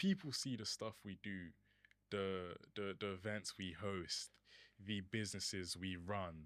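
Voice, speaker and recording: This speaker has a British accent. The pace is fairly slow. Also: man. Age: young (19). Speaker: podcast co-host. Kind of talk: podcast introduction.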